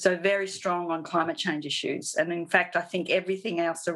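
With a monotone, flat intonation, a woman with a fairly low pitch speaks at a fairly quick pace. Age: 50s. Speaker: artist and sustainability educator. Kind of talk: interview.

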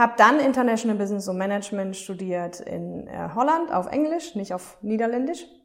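Speaking at a moderate pace, a woman with a fairly high pitch and an unremarkable speaking voice keeps her intonation lively. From Germany, Aachen. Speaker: self-care podcast host and coach. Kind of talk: casual monologue.

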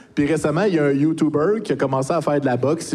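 This man's fairly high voice races along at a very fast pace with fairly even intonation. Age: 40s. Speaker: YouTuber and streamer. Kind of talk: casual chat.

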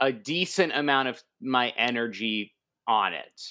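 A man's bright, sharp voice with an American accent at a very slow pace, on a very clean recording with a silent background. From US West Coast, San Diego, California. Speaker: comedian, improv teacher and actor. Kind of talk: casual interview chat. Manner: halting, many fillers.

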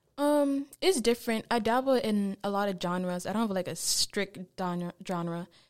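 In a very clean recording with a silent background, a woman at medium pitch talks at a moderate pace with hardly any pauses. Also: ordinary pitch variation. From DMV area, US (Haitian-American community). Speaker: singer-songwriter. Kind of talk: radio interview. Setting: radio studio. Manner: halting, many ums.

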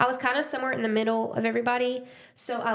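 This is a woman. She speaks with an Alabama accent. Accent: Southern US (Alabama). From US South, Dothan, Alabama. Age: 20s. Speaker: podcast host. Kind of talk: casual chat, personal testimony.

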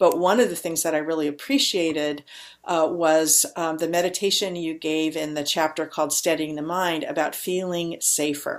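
A woman's fairly low voice at a moderate pace, an ordinary speaking voice. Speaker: podcast host. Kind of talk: interview conversation. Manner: warm, gentle.

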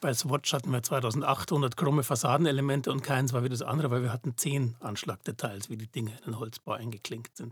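A man's medium-pitched, somewhat breathy voice at a fairly quick pace with hardly any pauses and ordinary pitch variation, in a very clean recording with a silent background. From Germany, Munich (Bavaria). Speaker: digital fabrication company founder, computer scientist. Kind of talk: casual interview.

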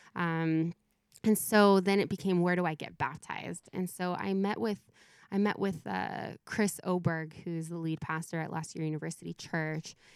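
A woman in a plain, everyday voice with an American accent, fairly low in pitch, at a moderate pace and with fairly even intonation. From Southern California. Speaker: youth pastor. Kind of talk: casual interview. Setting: remote call from home.

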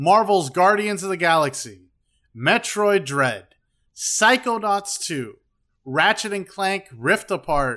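In a very clean recording with a silent background, a man speaks at a very slow pace in a raised, projected voice. His high pitch carries a bright, sharp tone and lively intonation. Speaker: podcast host. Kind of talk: casual chat.

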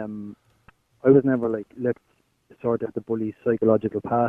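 With an Irish accent, a man speaks at a fairly quick pace in a monotone, flat intonation. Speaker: caller. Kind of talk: phone-in chat.

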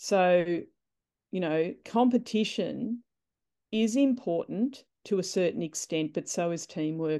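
Woman at medium pitch, dark and mellow in tone, ordinary pitch variation, quiet background. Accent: Australian. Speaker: netball coach. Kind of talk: interview.

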